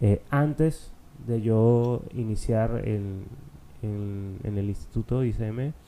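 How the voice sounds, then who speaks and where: The man's voice sits at a medium pitch with fairly even intonation. He speaks at a very slow pace. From Peru (Arequipa). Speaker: culinary student. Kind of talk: casual interview. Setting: radio studio.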